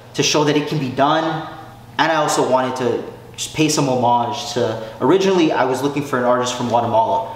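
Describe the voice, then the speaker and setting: A man talks at a very fast pace with ordinary pitch variation. Room echo is audible, and background noise is noticeable. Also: fairly high pitch for a man. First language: Spanish. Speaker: hip hop artist and producer. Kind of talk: casual interview. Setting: studio.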